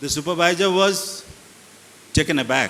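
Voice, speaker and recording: At a moderate pace a man talks, with noticeable background noise present. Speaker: school founder and educator. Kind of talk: motivational storytelling to students. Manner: calm.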